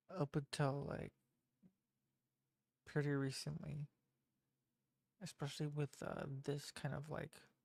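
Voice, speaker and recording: Soft-spoken, this voice moves at a fairly slow pace with long, frequent pauses. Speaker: game developer streamer. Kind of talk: casual live-stream commentary. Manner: halting. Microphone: mic turned up, quiet level.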